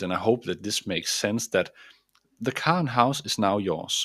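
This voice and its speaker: A man with a Danish accent and fairly low pitch speaks at a moderate pace with lively intonation in a very clean recording with a silent background. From Denmark. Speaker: mindset coach. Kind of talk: motivational talk.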